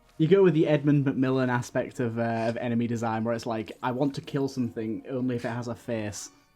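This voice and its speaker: With music in the background, a man speaks at a very fast pace with hardly any pauses, his medium pitch carrying fairly even intonation. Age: 20s. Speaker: podcast host. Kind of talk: casual chat.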